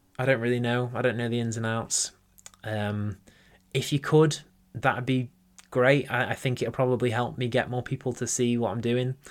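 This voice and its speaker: A man talks at a moderate pace and medium pitch in a monotone, flat intonation. The recording is very clean, with a silent background. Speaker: mental health podcast host. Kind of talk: solo monologue podcast. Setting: home office with microphone. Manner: hesitant, many fillers.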